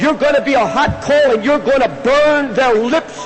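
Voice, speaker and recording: Against music in the background, a man speaks in an extremely high pitch with an intense tone and ordinary pitch variation. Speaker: preacher. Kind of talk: sermon, passionate preaching. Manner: intense, forceful, impassioned.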